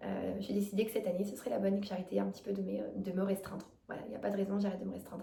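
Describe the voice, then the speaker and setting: A woman speaks at a very fast pace. Audible room echo and noticeable background noise are present. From France, Drôme (near Valence). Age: 20s. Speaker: vlogger. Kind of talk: casual self-introduction vlog. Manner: hesitant, many fillers.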